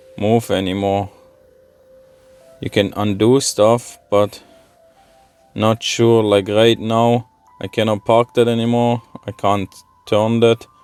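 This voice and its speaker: Over music in the background, a man with a non-native accent speaks at a medium pitch and a fairly slow pace, in a monotone, flat intonation, with a dry, close sound and no echo. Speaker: car video creator. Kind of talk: product tutorial. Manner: casual, thinking aloud.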